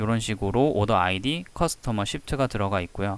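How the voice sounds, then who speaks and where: A man talks at a moderate pace. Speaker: statistics tutor. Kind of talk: tutorial. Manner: speeds up when explaining.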